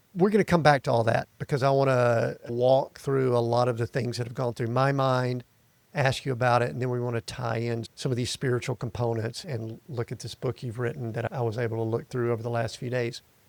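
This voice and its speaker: A man with an American accent and a plain, everyday voice talks at medium pitch with fairly even intonation. He moves at a fairly quick pace with hardly any pauses, in a dry, close sound with no echo. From US South, Atlanta area. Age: 60s. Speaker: podcast host. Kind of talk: interview podcast. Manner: casual, conversational.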